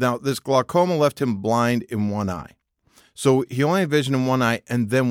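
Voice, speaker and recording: A man speaks in a normal speaking voice at a medium pitch, his intonation lively, on a very clean recording with a silent background. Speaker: podcast co-host. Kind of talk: casual chat.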